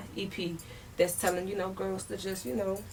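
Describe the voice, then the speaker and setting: With an American accent, a woman speaks at medium pitch amid audible room echo. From Maryland, DC area (DMV). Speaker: rapper and dancer. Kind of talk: interview. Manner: casual, animated.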